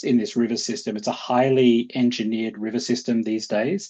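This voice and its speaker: The pitch of this man's voice sits at medium, with ordinary variation. His pace is moderate. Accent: Australian. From Australia. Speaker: conservation organization director. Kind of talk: webinar presentation. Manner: many fillers and repetitions.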